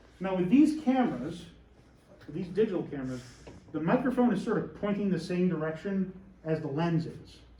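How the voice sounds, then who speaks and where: With noticeable background noise and audible room echo, a man talks at a fairly quick pace in a high voice that swings very widely in pitch. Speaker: teacher. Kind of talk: lecture. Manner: loud; animated.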